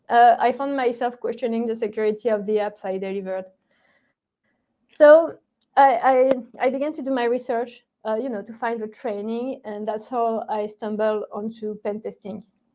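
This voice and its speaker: In a strong French accent, a woman speaks at a moderate pace. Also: fairly high pitch for a woman, ordinary pitch variation. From France. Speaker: ethical hacker. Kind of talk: interview. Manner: halting, many fillers.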